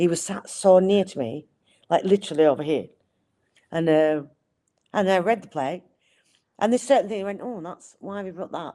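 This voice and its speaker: With a Lancashire accent and a dark, mellow tone, a woman talks at a fairly quick pace, her loudness swinging widely between long, frequent pauses. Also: medium pitch for a woman, ordinary pitch variation. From Accrington, Lancashire. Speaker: actress. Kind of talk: interview answer.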